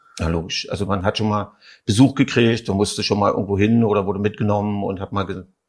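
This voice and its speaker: On a very clean recording with a silent background, a man speaks at a very fast pace and a fairly low pitch with fairly even intonation. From East Berlin. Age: 50s. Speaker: actor and theatre director. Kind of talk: interview.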